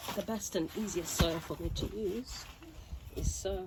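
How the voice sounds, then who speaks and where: At a moderate pace, a woman speaks quietly over noticeable background noise. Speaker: home gardener vlogger. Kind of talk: casual gardening vlog narration.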